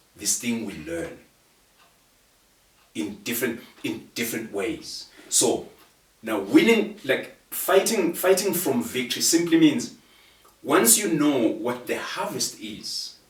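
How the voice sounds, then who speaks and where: Audible room echo surrounds a man speaking at a fairly high pitch with very wide pitch swings. He goes very slowly, with long, frequent pauses. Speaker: guest speaker on procrastination. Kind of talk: conversational interview. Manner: passionate.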